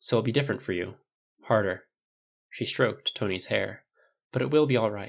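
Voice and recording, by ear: Natural reading aloud with lively intonation over a quiet background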